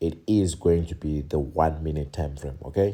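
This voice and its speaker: Soft-spoken, a man talks in a dark, mellow tone at a very deep, low pitch over a quiet background. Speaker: trading educator. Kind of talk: tutorial. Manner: soft-spoken, low voice.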